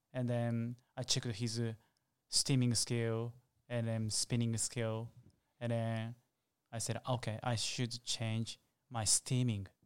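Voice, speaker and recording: A man with a Japanese accent talks at a fairly slow pace and medium pitch, flat and monotone, with very even loudness and long, frequent pauses, on a very clean recording with a silent background. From Japan, Osaka. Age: 30s. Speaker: latte art champion and barista. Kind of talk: interview. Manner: halting.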